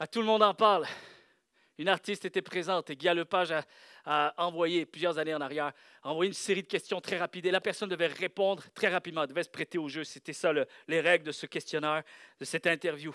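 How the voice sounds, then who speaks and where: A man with a high pitch and a bright, sharp tone talks at a very fast pace, recorded dry and close with no echo in a very clean recording against a silent background. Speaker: pastor. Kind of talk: sermon. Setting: church with congregation. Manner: animated.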